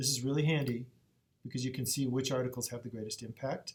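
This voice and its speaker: A man with a medium pitch talks in a somewhat breathy voice with fairly even intonation. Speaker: librarian. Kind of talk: tutorial. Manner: fast.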